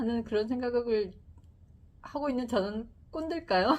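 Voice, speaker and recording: A woman is speaking. Her voice is high in pitch. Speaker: YouTuber presenting books. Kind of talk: book talk to camera. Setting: filming a video. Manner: slow, calm speech; stiff, like reading a newspaper.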